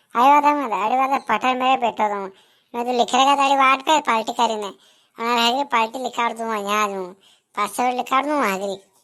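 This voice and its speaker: A woman does a cartoonish character voice at a high pitch, moving at a fairly quick pace with fairly even intonation. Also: very clean recording, silent background. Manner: rustic, complaining.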